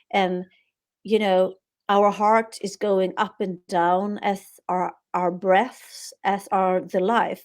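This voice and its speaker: A woman with a Swedish accent speaks at a very slow pace in a monotone, flat intonation, on a very clean recording with a silent background. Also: medium pitch for a woman. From Sweden. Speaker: author. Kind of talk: interview.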